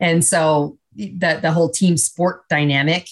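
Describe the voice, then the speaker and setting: On a very clean recording with a silent background, a woman speaks with a Canadian accent. Her pitch is very deep and low, her intonation fairly even. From Canada. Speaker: business executive and leadership speaker. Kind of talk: radio interview.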